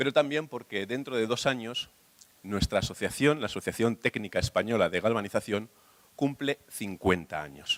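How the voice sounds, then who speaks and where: With a normal speaking voice, a man talks at medium pitch and a moderate pace, his intonation lively and the sound dry and close with no echo. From Spain. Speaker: industry association secretary. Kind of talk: conference presentation.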